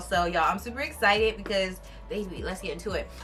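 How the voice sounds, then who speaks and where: Speech at a fairly quick clip, noticeable background noise underneath. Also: woman. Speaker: beauty and fashion vlogger. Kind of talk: try-on haul vlog. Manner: loud; animated.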